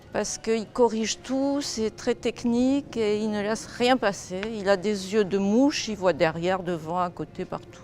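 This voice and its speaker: Music plays in the background as a woman speaks at a fairly slow pace. She uses ordinary pitch variation and hardly any pauses. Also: medium pitch for a woman. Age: 70s. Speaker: dance student. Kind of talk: testimony.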